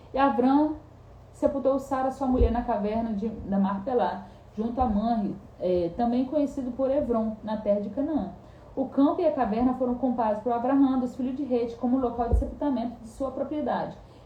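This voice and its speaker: Audible room echo surrounds a woman speaking at a moderate pace in a high pitch, with ordinary pitch variation. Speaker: bible teacher. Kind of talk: bible study reading and commentary. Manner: halting, self-correcting.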